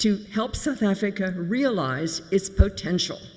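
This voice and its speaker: The speaker has an American accent and talks at a very slow pace. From United States. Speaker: community volunteer leader. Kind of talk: eulogy. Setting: memorial service.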